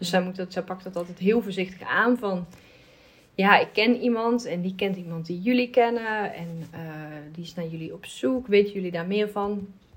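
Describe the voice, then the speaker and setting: At a moderate pace, a woman with a medium-pitched, somewhat breathy voice speaks with ordinary pitch variation and big swings in loudness. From Netherlands. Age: 30s. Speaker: adoptee, advocacy group member. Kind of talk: casual conversation.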